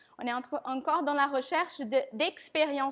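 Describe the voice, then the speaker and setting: With a non-native accent, a woman speaks at a moderate pace in a high pitch with fairly even intonation. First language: not French (speaking French). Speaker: conference speaker on design systems. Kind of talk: tech talk presentation. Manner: halting, many fillers.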